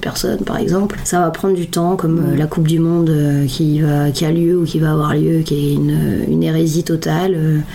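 Over noticeable background noise, a woman talks at a moderate pace in a very deep, low pitch. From northern France, Lille. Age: 30s. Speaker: upcycling designer and activist. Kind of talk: interview.

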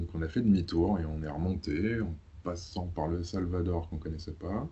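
Somewhat breathy and very deep and low in pitch, a man speaks at a fairly slow pace with fairly even intonation. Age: 30s. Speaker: software developer and traveler. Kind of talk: casual interview.

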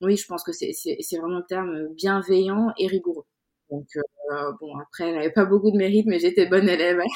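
At a moderate pace, a woman with a medium pitch speaks with fairly even intonation and big swings in loudness. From Senegal (Dakar). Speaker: insurance consultant and women's network founder. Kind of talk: interview. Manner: hesitant, many repetitions.

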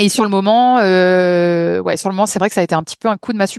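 Dry and close with no echo, the recording has a woman talking at a very fast pace, her pitch medium and her intonation fairly even. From France, Lyon. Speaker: photographer. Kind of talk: podcast interview.

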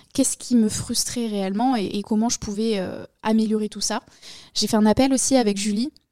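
A woman speaks at a moderate pace in a dark, mellow tone. Her intonation is monotone and flat, with a dry, close sound and no echo. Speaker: podcast host, online entrepreneur. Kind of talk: personal monologue. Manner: casual, hesitant with fillers.

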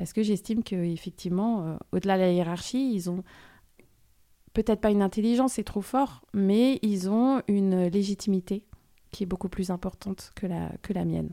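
Recorded very cleanly with a silent background and a dry, close sound with no echo, a woman speaks at medium pitch and a moderate pace, her dark, mellow tone showing ordinary pitch variation. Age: 40s. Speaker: podcast guest sharing family story. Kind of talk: personal testimony interview. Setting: studio. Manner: hesitant, many fillers and repetitions.

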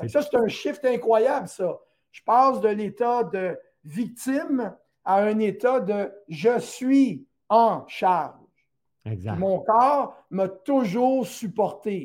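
A man with a Quebec accent speaks very slowly at a high pitch, his intonation lively, on a very clean recording with a silent background. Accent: Québécois French. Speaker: naturopath and teacher. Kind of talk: educational talk on a live stream.

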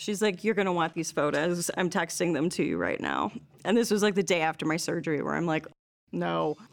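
Speaking at a fairly quick pace, a woman with a fairly low pitch keeps her intonation fairly even, with vocal fry. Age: 40s. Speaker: former student. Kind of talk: casual chat.

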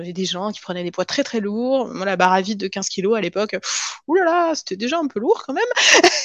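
Amid noticeable background noise, the voice moves at a fairly quick pace with very wide pitch swings and big swings in loudness. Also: woman, fairly high pitch for a woman. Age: 30s. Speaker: cardiac surgeon turned pharma industry worker. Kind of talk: interview testimony. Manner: halting, frequent repetitions.

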